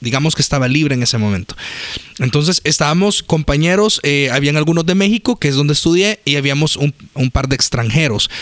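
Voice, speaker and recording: A man at a fairly quick pace with very even loudness, dry and close with no echo, against noticeable background noise. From El Salvador. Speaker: podcast co-host. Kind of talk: casual chat.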